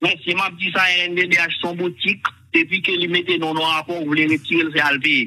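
The delivery moves at a fairly quick pace with hardly any pauses and fairly even intonation. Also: man, high pitch for a man. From Haiti. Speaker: caller. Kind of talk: heated debate. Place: studio. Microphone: lapel.

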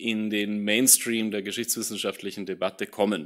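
Intonation holds fairly even. Behind the voice, things stay quiet. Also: man. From Austria. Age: 30s. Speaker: political science professor. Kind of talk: lecture. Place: hall. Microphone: podium.

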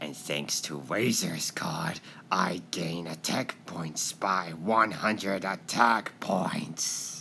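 In a put-on character voice, the speaker delivers low-pitched, menacing lines at a very slow pace against clear background noise. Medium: fan dub. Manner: menacing, triumphant.

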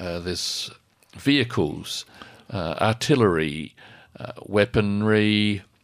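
Speaking very slowly with an Australian accent, this voice leaves long, frequent pauses and shows ordinary pitch variation over a quiet background. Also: man, fairly low pitch for a man. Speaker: radio co-host. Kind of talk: community radio talk show. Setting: studio. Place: studio. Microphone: studio mic.

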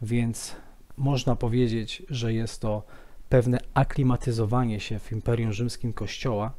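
A man's dark, mellow voice at a fairly slow pace. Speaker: presenter. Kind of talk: lecture. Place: office.

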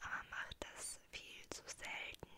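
A woman whispers at a very slow pace. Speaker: ASMR creator. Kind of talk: ASMR Q&A talk to camera. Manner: whispered. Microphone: studio mic.

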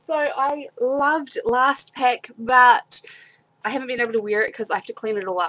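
Using a New Zealand accent, a woman speaks with a high pitch, ordinary pitch variation and an animated, bright, sharp tone. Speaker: video blogger unboxing beauty subscription box. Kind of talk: casual unboxing and product review vlog. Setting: home, webcam video. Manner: chatty, animated, informal. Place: home room. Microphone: webcam.

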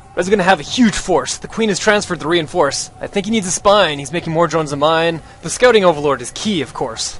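Over music in the background, a man with a high pitch speaks at a fairly quick pace with lively intonation. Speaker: gaming commentator. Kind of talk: live esports commentary delivered entirely in rhyming limericks. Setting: screen-recorded video commentary over a game replay. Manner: animated, quick rhythmic delivery with playful, excited reactions; jokey, laughing at his own rhymes.

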